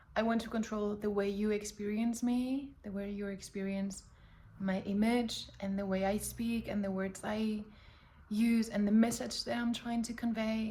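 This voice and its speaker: Moderate pace, with a non-native accent and monotone, flat intonation. There is noticeable background noise. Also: woman, fairly high pitch for a woman. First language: not English. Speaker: personal vlogger. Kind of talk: casual monologue to camera. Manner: halting, self-correcting.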